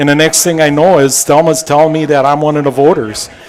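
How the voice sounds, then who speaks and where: Amid noticeable background noise, a man talks at a very fast pace with a fairly high pitch. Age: 70s. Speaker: former racing crew member. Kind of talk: casual interview.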